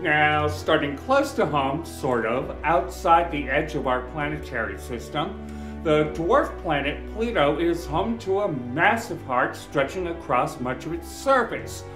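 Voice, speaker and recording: Clear music plays behind a man who speaks with hardly any pauses. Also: fairly slow pace. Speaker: podcast host. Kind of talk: science podcast narration. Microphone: earbuds.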